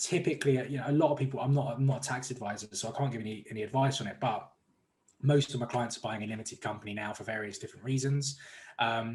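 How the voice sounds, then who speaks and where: A man's somewhat breathy, medium-pitched voice with an English accent, at a very fast pace with fairly even intonation. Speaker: mortgage broker. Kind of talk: interview.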